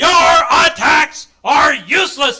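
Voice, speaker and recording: A man shouts in a put-on character voice at an extremely high pitch. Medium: read story. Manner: imperious, impatient.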